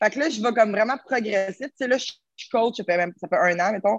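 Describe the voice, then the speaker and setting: Medium-pitched female voice with ordinary pitch variation, a dry, close sound with no echo, and a quiet background. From Quebec, Terrebonne. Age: 20s. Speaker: fitness coach. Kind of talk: casual chat.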